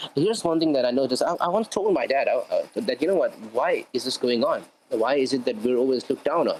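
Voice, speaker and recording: Talking at a very fast pace with hardly any pauses, a man with a Pakistani accent keeps his loudness very even. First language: Urdu. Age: 20s. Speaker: interview guest. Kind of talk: casual interview.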